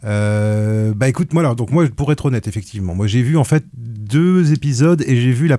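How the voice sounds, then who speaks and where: This man has a medium-pitched voice with a dark, mellow tone, speaking at a fairly quick pace with lively intonation in a Breton accent. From Brittany, France. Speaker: film critic on a podcast panel. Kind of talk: casual panel discussion. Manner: halting, many fillers and restarts.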